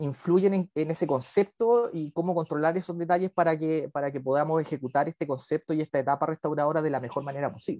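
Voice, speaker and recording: A man talks in an ordinary speaking voice at a fairly high pitch, with ordinary pitch variation. His pace is fairly quick, and the background is quiet. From Chile, Viña del Mar; Chile. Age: 40s. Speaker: dentist and university lecturer; university lecturer. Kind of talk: lecture. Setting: video call. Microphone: video call.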